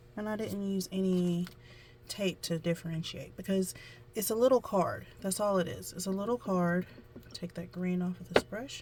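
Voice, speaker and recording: A woman's somewhat breathy, medium-pitched voice in a Southern US accent, at a moderate pace, with ordinary pitch variation and big swings in loudness. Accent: country southern. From US South. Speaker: amateur painter, tutorial vlogger. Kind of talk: casual painting tutorial.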